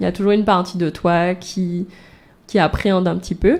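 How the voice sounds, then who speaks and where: In a normal speaking voice, a woman talks at a moderate pace and medium pitch, keeping her intonation fairly even. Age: 20s. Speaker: singer-songwriter. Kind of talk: radio interview.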